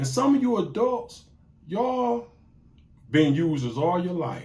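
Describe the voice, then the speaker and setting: Audible room echo surrounds a man with a high pitch and a dark, mellow tone. He speaks at a fairly slow pace with very wide pitch swings. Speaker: YouTube talk show host. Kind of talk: casual monologue. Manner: animated.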